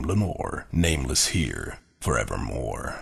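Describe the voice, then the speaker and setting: With a very deep, low pitch, a man speaks in lively intonation. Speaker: voice over actor. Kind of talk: movie trailer voice reading of a poem (audiobook style); poetry reading.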